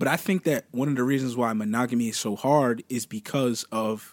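A man with an American accent speaks in a normal speaking voice at a moderate pace, with ordinary pitch variation. The recording is very clean, with a silent background and a dry, close sound with no echo. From US Northeast, Cherry Hill area, New Jersey. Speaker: behavioral therapist and rapper. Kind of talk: casual chat.

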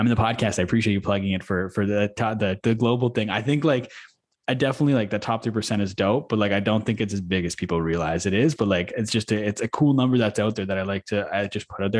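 Over a quiet background, a man with a Canadian accent speaks at a very fast pace. His pitch is fairly low, with ordinary pitch variation. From Manitoba, Canada. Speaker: podcast host. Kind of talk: casual interview chat.

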